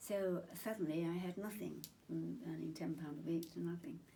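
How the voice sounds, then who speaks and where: This woman has a very deep, low pitch and a dark, mellow tone with vocal fry. She speaks with a southern English accent. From Chingford, Essex, England. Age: 80s+. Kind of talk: interview answer.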